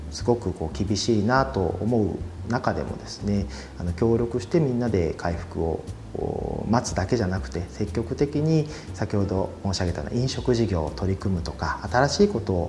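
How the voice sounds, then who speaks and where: A man talks at a fairly low pitch with very wide pitch swings. Noticeable background noise runs through the clip. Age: 30s. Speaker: company president. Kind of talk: interview.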